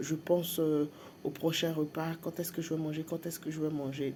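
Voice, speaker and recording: A woman is speaking here. Her pitch is very deep and low, with a dark, mellow tone. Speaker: vlogger. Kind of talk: personal vlog. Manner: hesitant, many fillers.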